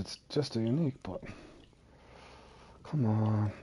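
Over a quiet background, a man speaks in a dark, mellow, somewhat breathy tone. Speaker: video game streamer. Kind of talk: live gameplay commentary. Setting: live stream with voice party. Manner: fast, sometimes mumbling; casual, chatty.

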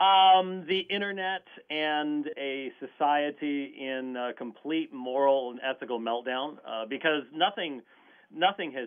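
The speech moves at a fairly slow pace over a quiet background. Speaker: guest. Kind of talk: interview answer.

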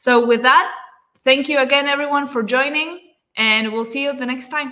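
Against a quiet background, a woman with a Spanish accent speaks in a bright, sharp tone. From Argentina. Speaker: book club host. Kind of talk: casual chat. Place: home room. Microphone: video call.

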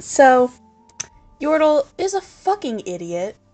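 A woman speaks with faint music in the background. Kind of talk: casual vlog chat.

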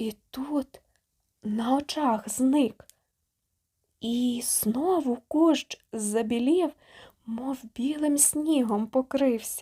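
A woman's high-pitched voice with a dark, mellow tone, very slow pace, ordinary pitch variation and a dry, close sound with no echo. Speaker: audiobook narrator. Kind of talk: dramatic audiobook narration of a legend, reading aloud with character dialogue. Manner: expressive, gentle storytelling, softening for the child Marko and the kindly old man; dramatic, building tension in the storm scenes, trees rustling and fighting the wind.

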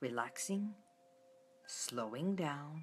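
A woman at a very slow pace, with very wide pitch swings. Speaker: wellness host. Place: home room. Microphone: phone near.

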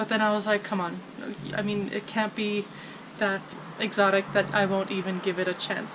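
Over noticeable background noise, a woman speaks with fairly even intonation. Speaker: vlogger. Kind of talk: casual vlog chat. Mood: amused, slightly apprehensive. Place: garden.

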